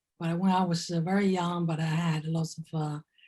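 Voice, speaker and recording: A woman with a fairly low pitch and a dark, mellow tone speaks somewhat breathily at a fairly slow pace in a flat monotone. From China. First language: Chinese. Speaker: artist. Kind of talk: artist talk presentation. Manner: halting with many fillers.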